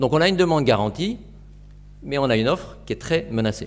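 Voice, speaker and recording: The voice moves at a fairly quick pace with vocal fry and very wide pitch swings. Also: man. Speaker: forest restoration entrepreneur; lecturer. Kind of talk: presentation. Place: classroom.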